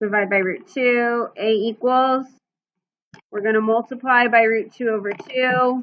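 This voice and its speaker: This is an unremarkable speaking voice, a woman's, fairly high in pitch. She speaks at a fairly slow pace with fairly even intonation. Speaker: math teacher. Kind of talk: lecture.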